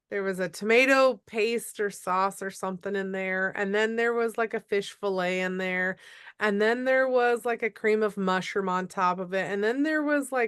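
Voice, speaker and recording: In an Upper Midwest accent, a woman speaks at a moderate pace with hardly any pauses, using a medium pitch and ordinary pitch variation against a quiet background. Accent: Upper Midwest American. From Minnesota. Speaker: podcast host. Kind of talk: casual interview chat.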